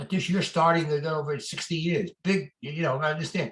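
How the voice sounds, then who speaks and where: Somewhat breathy, a man with an American accent speaks at a fairly quick pace. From New York. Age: 90s. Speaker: retired real estate lawyer and adviser. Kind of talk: interview. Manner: halting, repeats words.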